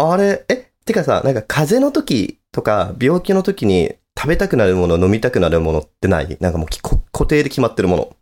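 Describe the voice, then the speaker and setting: With vocal fry and very wide pitch swings, a man speaks at a medium pitch and a fairly quick pace. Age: 30s. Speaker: podcast co-host. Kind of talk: casual chat.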